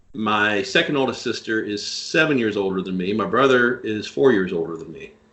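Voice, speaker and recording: A man with a Tennessee accent and a fairly low pitch talks at a fairly quick pace with lively intonation and big swings in loudness over noticeable background noise. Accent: Southern US (Tennessee). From US South, Nashville, Tennessee. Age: 50s. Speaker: podcast guest. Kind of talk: casual chat.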